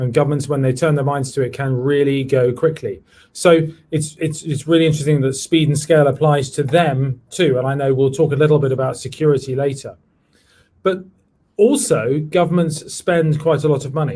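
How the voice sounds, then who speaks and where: With a London accent, a man speaks at a fairly quick pace in a fairly high pitch, his somewhat breathy voice dark and mellow in tone with fairly even intonation. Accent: British (London). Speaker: tech executive, former government CTO. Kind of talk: virtual panel discussion.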